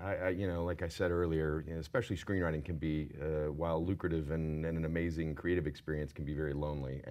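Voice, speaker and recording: Against a quiet background, a man with an American accent talks very fast in a very deep, low, monotone voice, with hardly any pauses. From US South. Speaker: TV showrunner and professor. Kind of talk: panel discussion. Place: stage.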